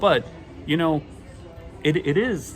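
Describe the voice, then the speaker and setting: A man speaks with a Boston accent. Music plays behind him, and the room echo is audible. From Boston, Massachusetts. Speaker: vlogger. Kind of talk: casual talk to camera. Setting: airport terminal.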